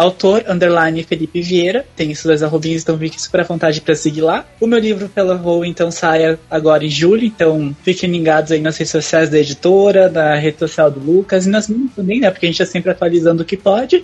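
A man speaks at a fairly quick pace with a high pitch and ordinary pitch variation. Noticeable background noise sits behind him. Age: 20s. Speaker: author. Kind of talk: casual chat.

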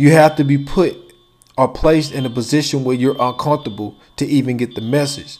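At a fairly quick pace, a man with a fairly high pitch and fairly even intonation talks in a plain, everyday voice. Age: 30s. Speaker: podcast host. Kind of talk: solo monologue rant.

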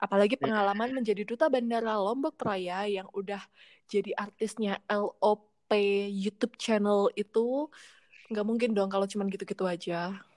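With an animated tone, a woman speaks at a moderate pace and medium pitch, her pitch varying in an ordinary way. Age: 20s. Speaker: podcast host. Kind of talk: casual chat.

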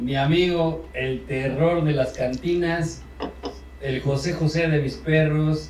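A man with a Mexican accent speaks at a very slow pace, with fairly high pitch and fairly even intonation. Noticeable background noise and audible room echo are present. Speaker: podcast host. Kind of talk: casual chat.

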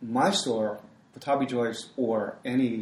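Medium-pitched male speech with ordinary pitch variation, an unremarkable speaking voice. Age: 60s. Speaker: yoga teacher. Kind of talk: interview.

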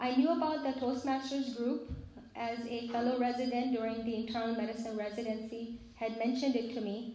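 With audible room echo and noticeable background noise, a woman talks at a fairly quick pace in a fairly high voice with monotone, flat intonation. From Pakistan. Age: 40s. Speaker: physician. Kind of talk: personal testimony talk to a congregation.

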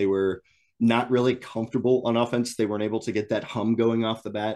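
A man with a medium pitch talks at a very fast pace against a quiet background. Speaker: guest NAIA analyst. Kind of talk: casual sports analysis chat. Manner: laid-back, enthusiastic, casual.

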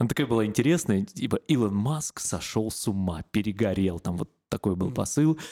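Talking very fast with lively intonation, a man has a dark, mellow tone and a fairly low pitch, the recording very clean with a silent background and a dry, close sound with no echo. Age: 30s. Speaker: podcast host, regional radio host. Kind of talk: casual chat.

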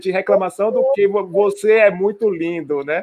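A man speaks at a moderate pace in a high pitch, with ordinary pitch variation. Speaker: podcast host. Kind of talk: casual interview chat.

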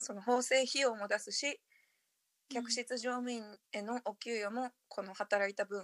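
A woman with a fairly high pitch speaks at a fairly slow pace in a relaxed tone with fairly even intonation, the sound dry and close with no echo on a very clean recording with a silent background. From Japan, partly raised abroad (returnee). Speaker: podcast host. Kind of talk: casual chat. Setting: bathroom (recording from the changing room).

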